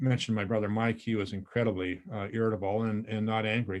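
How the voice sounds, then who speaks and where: A man speaks at a medium pitch. He has an American accent. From northern Montana, US. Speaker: volunteer trainer. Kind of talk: training presentation. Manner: fast; excited, many fillers.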